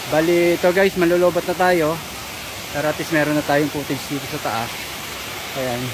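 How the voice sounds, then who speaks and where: At a moderate pace with fairly even intonation, the voice sounds dry with no echo, though noticeable background noise is present. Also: man. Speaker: hiking vlogger. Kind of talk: casual vlog chat. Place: forest. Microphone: phone near.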